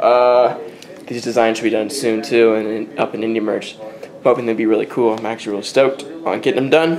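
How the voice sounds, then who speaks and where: Noticeable background noise under fairly even intonation. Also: man, medium pitch for a man. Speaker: vlogger and music producer. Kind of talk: casual vlog chat. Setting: at home. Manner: mumbling; halting, many fillers.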